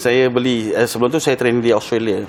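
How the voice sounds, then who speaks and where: Noticeable background noise fills the recording. Over it, a man talks at a fairly quick pace. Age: 60s. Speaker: retired track cyclist. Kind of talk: TV interview. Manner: halting.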